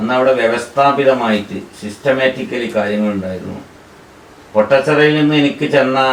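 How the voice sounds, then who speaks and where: Heard through noticeable background noise and audible room echo, a man speaks with ordinary pitch variation. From Kerala, Malappuram. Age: 60s. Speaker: Islamic scholar. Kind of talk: interview.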